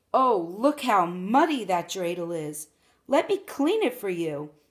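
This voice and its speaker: A woman at a medium pitch puts on a character voice with very wide pitch swings, speaking at a fairly slow pace. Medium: read story. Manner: falsely sweet, wheedling.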